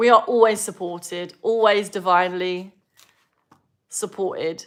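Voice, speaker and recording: Speaking at a fairly slow pace, a woman with an English accent has a medium pitch. Her intonation stays fairly even. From southern England. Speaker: spiritual teacher. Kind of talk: live stream Q&A.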